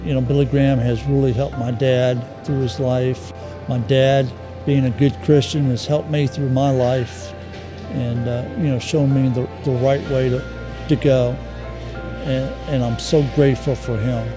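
With clear music playing in the background, a man talks at a moderate pace and ordinary pitch variation. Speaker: son of the veteran. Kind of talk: interview answer. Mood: grateful, emotional. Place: hall. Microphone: lapel.

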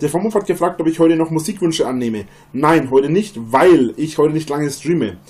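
Dark and mellow in tone, a man talks at a moderate pace with lively intonation. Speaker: live streamer. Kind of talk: casual livestream chat. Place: home room.

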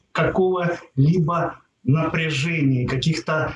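Speaking at a very slow pace, a man with a high pitch is heard with audible room echo and light background noise. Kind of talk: monthly horoscope forecast talk. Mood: upbeat, reassuring.

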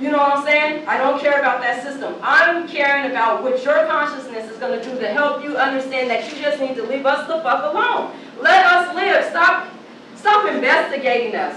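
The voice is raised and projected at a moderate pace with ordinary pitch variation, with audible room echo and light background noise. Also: woman. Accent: American. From Portland, Oregon. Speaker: activist and panelist. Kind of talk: passionate panel speech. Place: hall.

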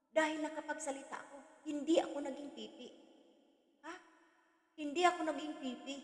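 In a Visayan accent, a woman speaks at a fairly quick pace with long, frequent pauses, a high pitch and monotone, flat intonation. Her loudness swings widely, and the room echo is audible. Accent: Visayan accent in Tagalog. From Visayas, Philippines. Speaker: vlogger. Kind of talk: reaction vlog commentary. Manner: loud, forceful.

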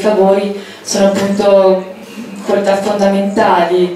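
There is strong room echo and light background noise as a woman speaks. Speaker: political candidate. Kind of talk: campaign speech. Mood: earnest, somewhat indignant. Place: hall.

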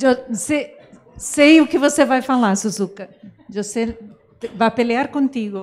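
With a Portuguese accent, a woman speaks at a very slow pace. Her high pitch shows ordinary variation. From Brazil. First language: Portuguese (speaking Spanish). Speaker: opera festival director; panelist. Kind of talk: closing remarks at a conference. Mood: warm, grateful, animated. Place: hall. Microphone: handheld.

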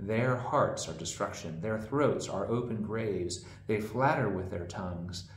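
In a room with audible echo and light background noise, a man speaks fairly slowly in a somewhat breathy voice, his pitch fairly low with ordinary variation. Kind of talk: scripture reading. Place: home room. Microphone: camera far.

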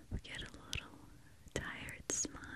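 A woman is whispering. Her voice is breathy. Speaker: ASMR creator. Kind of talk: soft whispered ASMR chat. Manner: slow breathy ASMR whisper. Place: studio. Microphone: studio mic.

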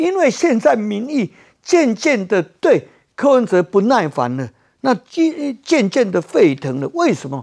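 The background stays quiet. A man delivers his words at a fairly slow pace. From Taiwan. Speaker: political commentator. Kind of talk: heated political debate. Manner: animated. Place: studio. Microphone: lapel.

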